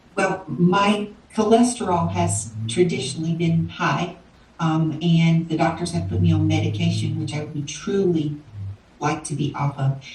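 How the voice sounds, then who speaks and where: A woman's very deep, low voice with a Southern US accent and lively intonation, fairly slow in pace, with audible room echo and noticeable background noise. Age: 60s. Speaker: interviewee, weight loss client. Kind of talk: interview. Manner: hesitant, many fillers.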